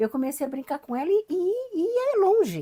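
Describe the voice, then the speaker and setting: A woman speaks at a fairly quick pace, her pitch swinging very widely. Her tone is dark and mellow. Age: 70s. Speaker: mystic and regression therapist. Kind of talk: interview conversation. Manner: animated, with repetitions and stammers.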